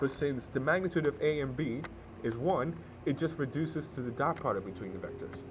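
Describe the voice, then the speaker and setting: Delivered at a fairly quick pace, the voice is somewhat breathy with lively intonation. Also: man, fairly high pitch for a man. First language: not English. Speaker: math tutorial maker. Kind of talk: tutorial. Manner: hesitant, with fillers and self-corrections.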